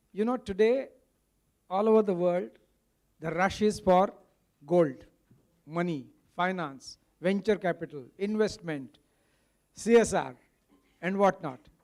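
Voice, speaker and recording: With a Marathi accent, the speaker goes at a fairly slow pace, with long, frequent pauses and ordinary pitch variation. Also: man, high pitch for a man. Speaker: movement founder, summit speaker. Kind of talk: speech at a summit. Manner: code-switching Hindi and English.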